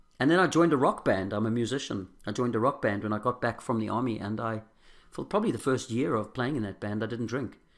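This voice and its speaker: Speaking at a very fast pace with an South African accent, a man keeps a medium pitch and ordinary pitch variation in a very clean recording with a silent background. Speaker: recovering alcoholic sharing his story. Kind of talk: testimony. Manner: halting.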